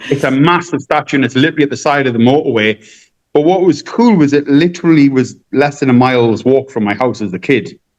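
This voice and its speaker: Speaking at a very fast pace, a man with a northeastern English accent uses a fairly high pitch with ordinary pitch variation. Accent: non-Cork, English northeast. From northeast England (Gateshead). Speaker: balloon artist and magician. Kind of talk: podcast interview. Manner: halting, many restarts.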